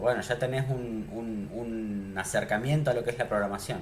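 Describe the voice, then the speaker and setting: Fairly even intonation comes through amid noticeable background noise and audible room echo. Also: man. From Argentina, Neuquén. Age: 30s. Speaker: programming teacher. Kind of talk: online class. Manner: casual, with filler words.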